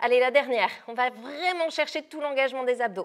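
A high-pitched woman's voice over a quiet background. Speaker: fitness instructor. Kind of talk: workout coaching instructions. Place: gym.

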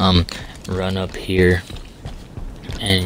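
A man with a very deep, low pitch is heard over noticeable background noise. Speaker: video game player. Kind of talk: casual gameplay tutorial narration. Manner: casual, hesitant with fillers.

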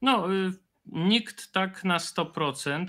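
A silent background and a very clean recording carry a bright, sharp tone. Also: man. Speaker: historian and video creator. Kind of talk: panel discussion.

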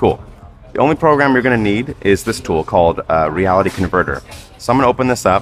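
Over faint background music, a man with a fairly low voice speaks at a very fast pace. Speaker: animator demonstrating workflow. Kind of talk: tutorial. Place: cafe. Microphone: headset.

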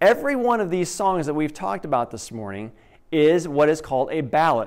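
Over a quiet background, the speech moves at a fairly quick pace. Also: man. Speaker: preacher. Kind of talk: sermon. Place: church. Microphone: headset.

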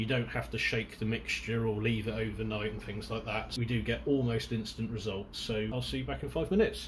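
With vocal fry and hardly any pauses, a man talks at a fairly quick pace and fairly low pitch, with ordinary pitch variation. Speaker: car enthusiast testing fuel. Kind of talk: casual talk to camera. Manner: stuttering, hesitant with fillers.

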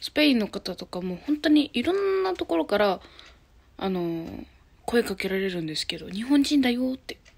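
A woman's lively intonation carries her speech along at a moderate pace. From Japan, Hyogo. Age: 20s. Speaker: YouTuber; vlogger. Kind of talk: casual self-introduction vlog. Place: home room. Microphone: phone near.

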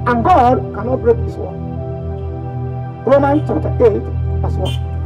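The man speaks fairly slowly while clear music sounds in the background. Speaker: street preacher. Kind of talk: preaching to camera. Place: street.

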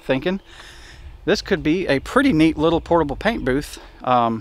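In a dry sound with no echo, a man speaks at a moderate pace with lively intonation. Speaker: vehicle hobbyist vlogger. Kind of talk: casual vlog chat. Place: street. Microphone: phone near.

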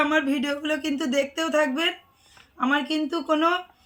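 A woman's high-pitched, raised and projected voice with flat, monotone intonation. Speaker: vlogger and sari shop owner. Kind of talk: casual vlog talk to camera.

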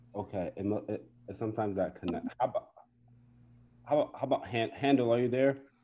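A man in an American accent at a fairly quick pace, with ordinary pitch variation and long, frequent pauses. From US Midwest. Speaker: music teacher and event organizer. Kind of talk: event moderation. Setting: video call. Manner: halting. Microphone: video call.

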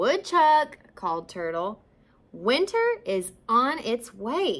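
In a natural voice, the words are read aloud.

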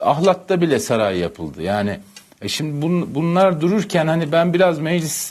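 Lively intonation marks this man's fairly high pitch. He talks at a fairly slow pace. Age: 50s. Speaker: journalist. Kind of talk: TV panel discussion. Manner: hesitant, many fillers.

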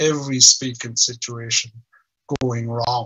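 Against a quiet background, a man speaks fairly slowly with monotone, flat intonation. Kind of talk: personal story in a video call talk. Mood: earnest, reflective. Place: home room. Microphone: video call.

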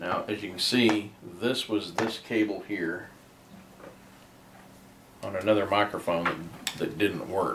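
Amid noticeable background noise, a man with a fairly low pitch and fairly even intonation speaks with long, frequent pauses. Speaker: radio hobbyist. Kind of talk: tutorial. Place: home room. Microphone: camera far.

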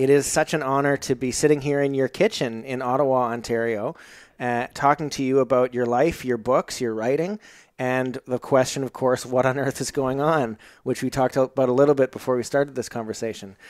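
A man at a fairly quick pace with fairly even intonation, in a dry sound with no echo over a quiet background. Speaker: podcast host. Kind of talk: interview conversation. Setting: in guest's home. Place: kitchen.

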